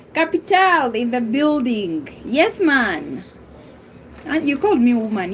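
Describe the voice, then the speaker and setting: Against noticeable background noise, a woman speaks in a high voice. Her pitch swings very widely. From Uganda. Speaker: live streamer. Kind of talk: casual live-stream chat, football banter. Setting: live stream reading chat. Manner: animated, teasing.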